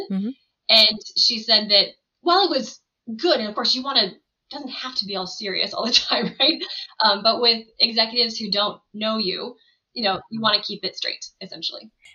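Talking at a fairly quick pace, a woman with a fairly high voice uses ordinary pitch variation while her loudness swings widely. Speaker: edtech product and marketing leader. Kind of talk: interview conversation. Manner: fast.

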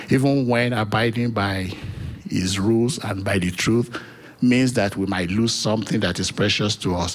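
Over noticeable background noise, a man speaks at a fairly slow pace with a fairly low pitch and ordinary pitch variation. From Nigeria. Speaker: church member giving testimony. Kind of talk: testimony.

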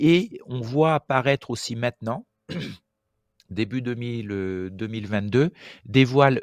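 In a dry, close sound with no echo and a quiet background, a man speaks very slowly at a medium pitch with ordinary pitch variation. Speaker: paragliding expert and instructor. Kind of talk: explanatory discussion.

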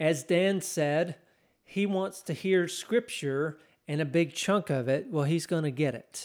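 A man's fairly high-pitched voice at a fairly slow pace, with ordinary pitch variation, in a very clean recording with a silent background. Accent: Texan. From Texas. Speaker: pastor. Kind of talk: sermon.

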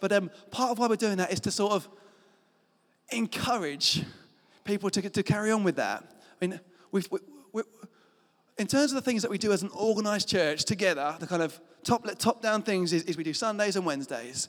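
A man speaks at a fairly quick pace, his pitch high for a man with ordinary variation. Long pauses come often. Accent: British. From Britain. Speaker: pastor. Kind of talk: sermon. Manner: animated.

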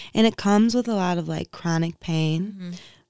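A woman with an American accent speaks in a plain, everyday voice at a fairly low pitch. Her pace is fairly slow, and the recording is very clean with a silent background. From Inkster, Michigan (Detroit area). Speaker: yoga and mindfulness practitioner. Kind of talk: casual interview.

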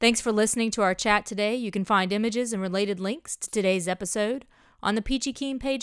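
Speaking at a fairly quick pace with a Southern US accent, a woman uses a fairly high pitch and ordinary pitch variation on a very clean recording with a silent background. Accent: Southern US (Georgia). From US South, south Georgia. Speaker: podcast host. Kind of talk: podcast intro monologue. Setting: fishing shack.

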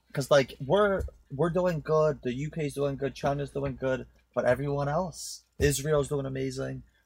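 Somewhat breathy and fairly high in pitch, a man with a New Jersey accent speaks at a fairly slow pace with fairly even intonation. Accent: New Jersey American. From New Jersey, born in Poland, moved at nine. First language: Polish. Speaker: podcast guest, marketing tech professional. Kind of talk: casual chat. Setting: studio.

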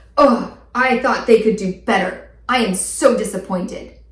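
Using a put-on character voice, a woman speaks at a fairly high pitch and moderate pace, with a slight echo. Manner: disappointed.

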